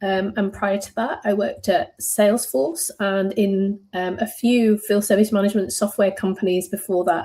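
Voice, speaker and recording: With a British accent, a woman speaks at a medium pitch in a dark, mellow, somewhat breathy tone and ordinary pitch variation. Her pace is moderate, with hardly any pauses. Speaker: software company director. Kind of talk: interview podcast. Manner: many filler ums.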